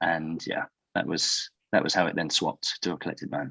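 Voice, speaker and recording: A man with a British accent speaks at a fairly quick pace in a bright, sharp tone, with a dry, close sound and no echo. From Britain. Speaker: company founder and CEO. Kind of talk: podcast interview. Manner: hesitant, with fillers.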